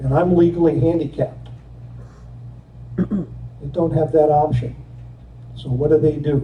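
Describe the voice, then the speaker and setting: The man's voice carries audible room echo. His pace is moderate. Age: 70s. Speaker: resident giving public comment. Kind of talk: public comment at township meeting. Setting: public meeting hall.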